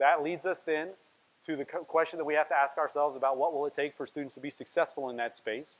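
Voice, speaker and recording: Fairly even intonation carries speech delivered at a fairly quick pace. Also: man. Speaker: workshop facilitator. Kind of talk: workshop presentation. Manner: fast.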